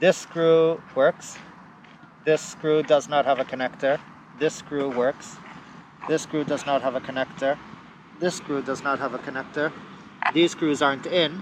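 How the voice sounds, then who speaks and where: The speaker mumbles at a fairly slow pace with fairly even intonation and long, frequent pauses. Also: man, fairly high pitch for a man. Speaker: electric unicycle vlogger. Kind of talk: casual repair walkthrough. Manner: mumbly.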